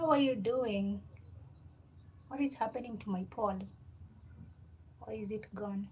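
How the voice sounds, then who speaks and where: A woman's fairly high, somewhat breathy voice with ordinary pitch variation and long, frequent pauses. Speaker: livestreamer. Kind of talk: casual chat. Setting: home livestream with ring light.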